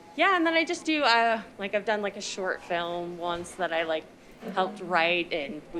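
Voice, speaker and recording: With an American accent, a woman speaks at a moderate pace in a fairly low pitch with ordinary pitch variation over noticeable background noise. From Utah, Salt Lake area. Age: 30s. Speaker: actress and illustrator. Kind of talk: casual chat. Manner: hesitant, many fillers.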